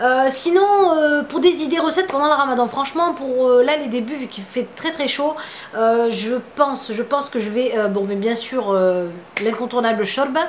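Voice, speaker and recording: With a Tunisian accent, a woman speaks at a moderate pace and a high pitch with lively intonation, over noticeable background noise. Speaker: beauty vlogger. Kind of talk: casual vlog Q&A. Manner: hesitant, many fillers.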